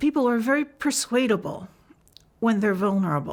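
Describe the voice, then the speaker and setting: Her intonation is lively and full of movement. The woman's voice carries some breathiness. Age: 60s. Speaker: activist. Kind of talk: testimony. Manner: halting.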